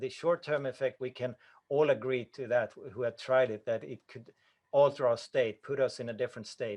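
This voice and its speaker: A man with a Swedish accent and medium pitch, fairly even intonation and big swings in loudness at a moderate pace, in a dry, close sound with no echo. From Sweden. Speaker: breathing coach. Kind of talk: Q&A answers at an online conference. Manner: halting, with self-corrections.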